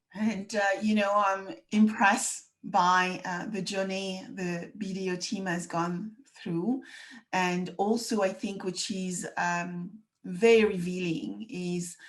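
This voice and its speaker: A woman speaks at a very slow pace with a French accent and a somewhat breathy voice. Her pitch sits in the middle range, and her intonation stays fairly even. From France. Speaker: podcast host. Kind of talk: interview.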